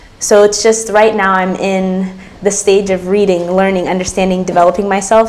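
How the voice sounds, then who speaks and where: Noticeable background noise around a woman with an American accent. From US, Ethiopian diaspora. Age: 20s. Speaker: college student and policy intern. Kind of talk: interview.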